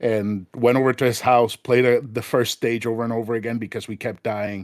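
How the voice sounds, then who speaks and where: With a Spanish accent, a man talks at a fairly quick pace in a medium pitch and a monotone, flat intonation, the sound dry and close with no echo. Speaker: retro gaming podcast guest. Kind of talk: casual chat.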